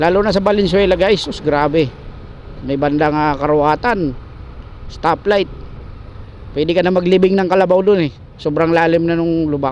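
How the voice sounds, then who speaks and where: There is noticeable background noise as a man with a high pitch speaks at a moderate pace, with fairly even intonation and long, frequent pauses. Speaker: motovlogger. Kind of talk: angry rant while motovlogging, cursing at corrupt officials and the road agency. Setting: outdoors on a motorbike ride.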